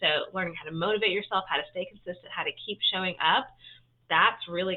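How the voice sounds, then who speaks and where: Ordinary pitch variation accompanies a fairly quick pace of speech. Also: woman. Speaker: health and fitness coach. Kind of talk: live-stream talk to viewers. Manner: fast; casual, filler-heavy.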